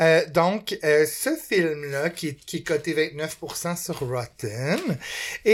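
Speaking at a very slow pace, the voice carries a Quebec accent. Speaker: podcast co-host. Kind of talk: casual chat.

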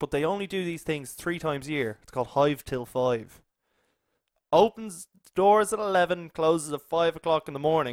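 In a normal speaking voice, a man talks at a moderate pace with a fairly high pitch, ordinary pitch variation, and big swings in loudness, recorded with a dry, close sound and no echo. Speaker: podcast host. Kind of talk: casual chat.

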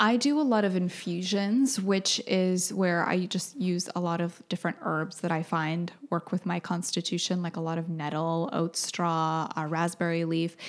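This is a normal speaking voice at a moderate pace. It has hardly any pauses. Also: woman, fairly low pitch for a woman, ordinary pitch variation. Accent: American. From New Brunswick, Canada, then Wisconsin from age ten. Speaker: holistic skincare practitioner. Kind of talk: casual interview.

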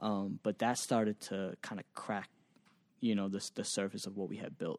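A man with an unremarkable speaking voice talks at a moderate pace in an American accent, fairly low in pitch with fairly even intonation. The recording is very clean with a silent background, and the sound is dry and close with no echo. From Massachusetts, Boston area. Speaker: music producer and digital marketer. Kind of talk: interview.

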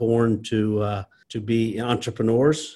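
A man speaks at medium pitch with a South Louisiana accent. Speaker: restaurant company CEO. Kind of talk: interview. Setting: video call.

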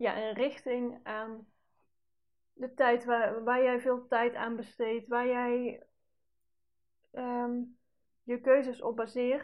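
A woman speaks at a very slow pace in a high pitch. Her intonation is monotone and flat. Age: 30s. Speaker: podcast host and personal development coach. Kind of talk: solo podcast monologue. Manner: casual, with many fillers.

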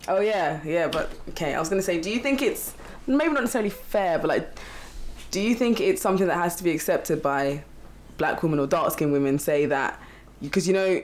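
Here is a woman with an ordinary speaking voice, pitched fairly low. She talks at a fairly quick pace with lively intonation. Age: 20s. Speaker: quantity surveyor. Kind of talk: casual chat.

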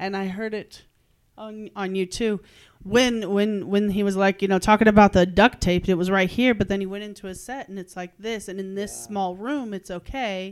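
A woman uses a normal speaking voice at medium pitch and a moderate pace. Her intonation is fairly even, but her loudness swings widely. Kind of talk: casual critique, workshop.

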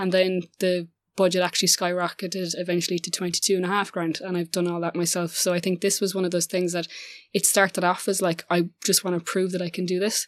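A woman speaks very fast at a medium pitch in a monotone, flat intonation. The recording is very clean, with a silent background. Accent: Irish. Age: 20s. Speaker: filmmaker. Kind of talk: interview.

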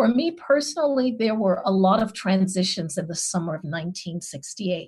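With lively intonation and hardly any pauses, a woman talks at a moderate pace in a somewhat breathy, medium-pitched voice. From Chicago. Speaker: anthropologist and former university president. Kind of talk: panel discussion.

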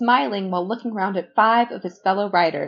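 This is an unforced reading voice. It is used throughout the clip.

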